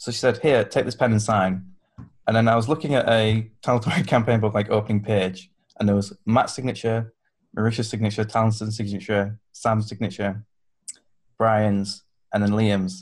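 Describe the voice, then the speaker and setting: Moderate pace, in a Yorkshire accent. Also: man, fairly low pitch for a man, fairly even intonation. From Yorkshire, England. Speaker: podcast guest, fan convention attendee. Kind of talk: casual chat.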